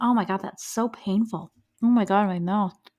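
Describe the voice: A woman puts on a raspy character voice at medium pitch, keeping a moderate pace and fairly even intonation.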